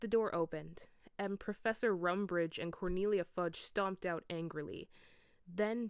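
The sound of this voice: An unforced reading voice, its pitch rising and falling in the usual way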